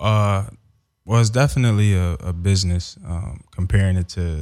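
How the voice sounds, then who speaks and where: This man has a very deep, low pitch and ordinary pitch variation, speaking at a moderate pace. The recording is very clean with a silent background. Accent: American. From Philadelphia, US. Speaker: former pro football player. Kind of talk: casual interview. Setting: studio.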